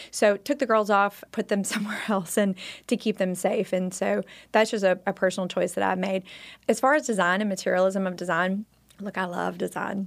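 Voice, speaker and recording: Recorded very cleanly against a silent background, a woman talks at a fairly quick pace with a medium pitch and fairly even intonation. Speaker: interior designer and mother. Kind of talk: casual chat. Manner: bold.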